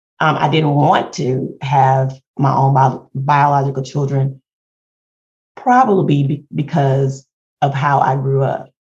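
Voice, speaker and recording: With an American accent, a woman speaks very slowly in a somewhat breathy, very deep, low voice and monotone, flat intonation. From Houston, Texas. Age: 50s. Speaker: podcast co-host. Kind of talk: casual chat.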